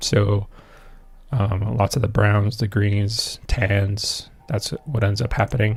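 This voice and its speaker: Somewhat breathy, a man speaks at a very slow pace. His intonation stays fairly even. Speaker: 3D artist for a game. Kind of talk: live stream tutorial chat. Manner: halting, many fillers.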